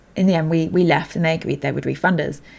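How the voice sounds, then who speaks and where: A woman speaks with a British accent on a very clean recording with a silent background. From Britain. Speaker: polyglot language teacher. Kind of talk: podcast interview.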